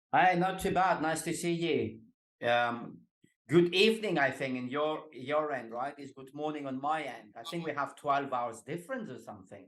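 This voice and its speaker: This man speaks at a moderate pace in a Greek accent, his pitch fairly high for a man, with ordinary pitch variation and big swings in loudness. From Greece. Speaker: executive coach. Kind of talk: podcast interview.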